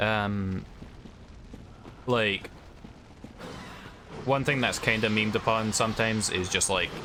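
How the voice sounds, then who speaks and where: A man talks at a fairly slow pace with a fairly low pitch, fairly even intonation, very even loudness, and long, frequent pauses. Audible room echo and noticeable background noise fill the recording. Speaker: video game streamer. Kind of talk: live gameplay commentary with chat. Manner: casual, hesitant with fillers.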